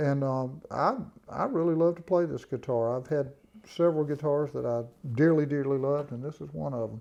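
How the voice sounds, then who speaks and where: A man with a Southern US accent talks fairly quickly, his fairly high voice carrying a dark, mellow tone and ordinary pitch variation. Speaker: bluegrass musician. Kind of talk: casual interview. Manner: halting.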